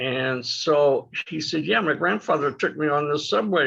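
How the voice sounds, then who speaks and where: At a fairly slow pace, a man speaks in a fairly high, bright and sharp voice with ordinary pitch variation. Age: 80s+. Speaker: community storyteller, streetcar enthusiast. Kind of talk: personal reminiscence at online community event. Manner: halting, many fillers and repetitions.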